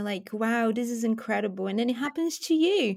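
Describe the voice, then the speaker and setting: A woman with a Portuguese accent, her pitch fairly high, on a very clean recording with a silent background. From Brazil. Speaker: film journalist. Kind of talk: casual chat.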